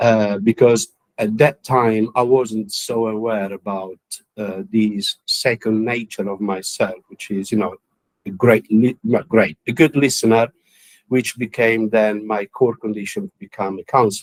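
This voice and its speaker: Someone with an Italian accent speaks at a fairly slow pace with fairly even intonation in a dry, close sound with no echo. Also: man, medium pitch for a man. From Italy. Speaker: counsellor and musician. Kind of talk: interview. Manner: halting, many fillers.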